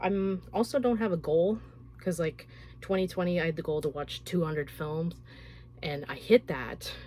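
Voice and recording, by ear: A woman speaks at a moderate pace with a fairly low pitch, ordinary pitch variation and a slightly mellow tone.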